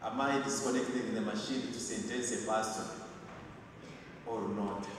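A man at a fairly slow pace, with strong room echo and light background noise. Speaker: clergyman preaching at funeral. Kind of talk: sermon. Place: church.

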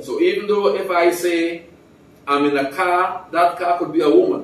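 Amid audible room echo, a man with a high pitch speaks at a moderate pace. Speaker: retired civil engineer, former calypso singer. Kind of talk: interview answer. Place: home room.

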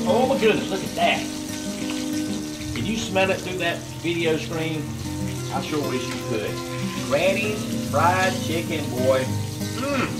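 A man at a fairly slow pace, with long, frequent pauses and clear music in the background. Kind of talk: casual cooking vlog chat. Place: garage.

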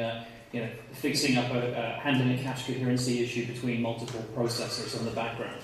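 A man is heard through strong room echo. There is light background noise. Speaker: conference presenter. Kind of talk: lecture. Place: hall. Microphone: camera far.

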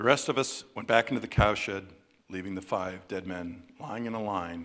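This is a natural reading voice. The pitch varies in an ordinary way.

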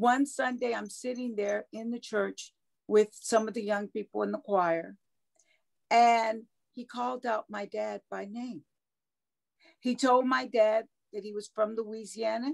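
A woman talks at a fairly slow pace with long, frequent pauses and a fairly high pitch. Her loudness swings a lot, her pitch varies an ordinary amount, and the background is quiet. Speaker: cult survivor. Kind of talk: interview. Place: home room. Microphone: video call.

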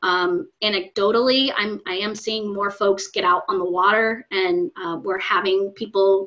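A woman at a fairly slow pace over a quiet background. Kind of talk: interview answer. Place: home room. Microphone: video call.

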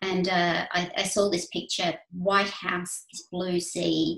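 A woman speaks at a fairly slow pace with a fairly low pitch. Her intonation is monotone and flat, and room echo can be heard. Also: quiet background. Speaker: guest. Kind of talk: talk to an online audience. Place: home room. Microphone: webcam.

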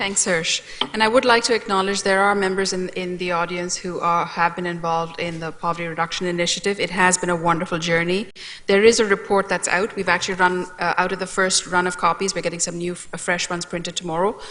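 Against noticeable background noise, a woman speaks very fast at a medium pitch with a monotone, flat intonation. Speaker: community agency representative. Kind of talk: council presentation.

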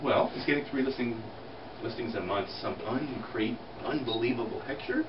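At a moderate pace, a man speaks over noticeable background noise. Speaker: real estate team leader. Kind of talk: motivational talk. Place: meeting room. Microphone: camera far.

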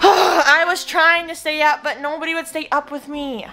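A woman speaks at a moderate pace. Her voice is raised and projected. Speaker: vlogger. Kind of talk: casual vlog chat. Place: home room. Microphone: phone near.

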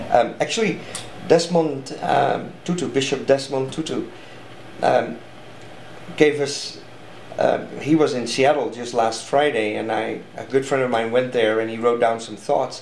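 Over light background noise and audible room echo, a man with a strong Dutch accent speaks with ordinary pitch variation and long, frequent pauses. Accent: thick Dutch. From Netherlands. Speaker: artist and speaker. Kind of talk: interview answer. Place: home room.

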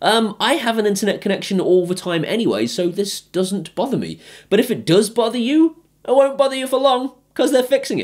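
At a fairly quick pace, a man talks with an extremely high pitch and lively intonation against a quiet background. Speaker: tech reviewer. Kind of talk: casual vlog review. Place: home room.

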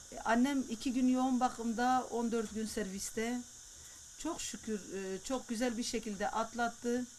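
A woman's high voice with ordinary pitch variation at a fairly slow pace. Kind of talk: interview answer.

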